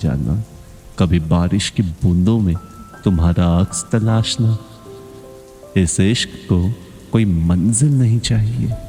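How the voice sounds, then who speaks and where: Loudness stays very even throughout. Music plays in the background. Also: man. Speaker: poetry narrator. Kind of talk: Hindi poetry reading, emotional one-sided love monologue. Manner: soft, slow, soulful.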